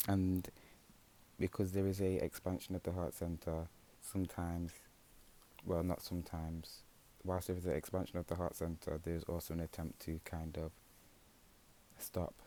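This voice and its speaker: This man has a very deep, low pitch and a dark, mellow tone, delivered in a calm tone. His intonation is monotone and flat, with long, frequent pauses. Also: moderate pace. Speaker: tarot reader. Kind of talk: tarot reading. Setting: home. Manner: halting.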